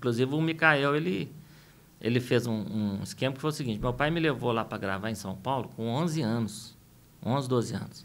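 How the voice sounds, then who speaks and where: This is a man with a normal speaking voice at a medium pitch. He moves at a moderate pace with ordinary pitch variation. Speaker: singer and music producer. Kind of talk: interview.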